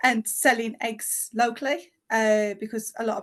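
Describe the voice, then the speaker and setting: Speaking at a fairly slow pace, this woman has a West Midlands accent. Her pitch is fairly high. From West Midlands, England. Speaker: home educating mum, natural skincare founder. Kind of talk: podcast interview.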